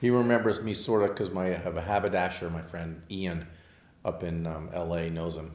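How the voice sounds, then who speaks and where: Amid audible room echo, a man with a very deep, low pitch talks at a fairly quick pace with fairly even intonation. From Southern California (Manhattan Beach). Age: 60s. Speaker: architect and car collector. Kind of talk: casual interview chat. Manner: hesitant, many fillers.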